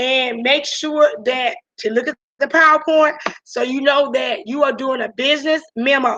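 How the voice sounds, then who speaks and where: A woman's raised, projected voice, high in pitch, with a bright, sharp tone. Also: moderate pace. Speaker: high school teacher. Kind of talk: online class lecture. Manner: gets louder when excited.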